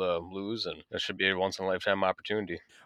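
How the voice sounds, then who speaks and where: A man speaks with a very deep, low voice. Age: 20s. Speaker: diesel technician and skills competitor. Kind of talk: radio interview.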